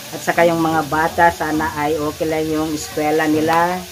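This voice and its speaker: A man at a moderate pace with a high pitch and warm tone, against noticeable background noise. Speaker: cooking vlogger. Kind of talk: casual vlog chat while cooking. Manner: casual, warm, frequent 'mga idol' address.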